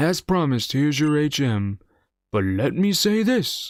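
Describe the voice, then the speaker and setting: A man puts on a character voice, fairly high in pitch and at a moderate pace. The recording is very clean with a silent background. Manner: gentle, admonishing.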